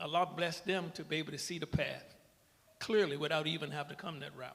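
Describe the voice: A man speaks fast at a fairly high pitch. His intonation stays fairly even, with vocal fry. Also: fairly bright tone.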